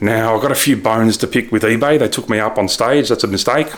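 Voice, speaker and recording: Mumbling at a fairly quick pace, a man with an Australian accent speaks at a medium pitch with ordinary pitch variation. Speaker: ecommerce reseller vlogger. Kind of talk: casual vlog recap. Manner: animated.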